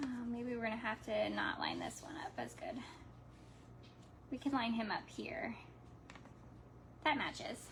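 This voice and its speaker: With audible room echo, a woman talks in a high pitch with ordinary pitch variation and long, frequent pauses. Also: moderate pace. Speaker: crafts livestreamer. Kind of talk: live craft tutorial chat. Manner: casual, halting with fillers.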